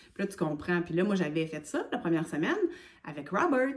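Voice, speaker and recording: A woman in a Quebec accent, with lively intonation over noticeable background noise. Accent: Québécois French. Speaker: hiking vlogger. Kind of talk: casual vlog talk.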